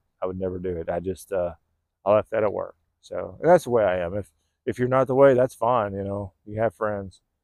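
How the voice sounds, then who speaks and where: A man with an American accent talks in a fairly low voice with ordinary pitch variation, and the sound is dry and close with no echo. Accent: California accent picking up a Southern drawl. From California. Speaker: vlogger. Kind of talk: casual monologue. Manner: laid-back.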